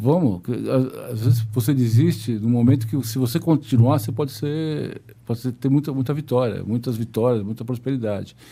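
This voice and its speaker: At a moderate pace with hardly any pauses, a man speaks in a medium pitch with ordinary variation and a dark, mellow, somewhat breathy tone. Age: 60s. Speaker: business executive. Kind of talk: podcast interview. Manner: halting, repetitive.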